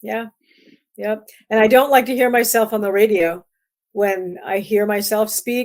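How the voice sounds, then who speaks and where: Speaking in an American accent, this voice keeps a fairly even intonation at a fairly slow pace. There are long, frequent pauses. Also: woman, fairly high pitch for a woman. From Iowa, US Midwest. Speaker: music publicist. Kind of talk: casual interview chat.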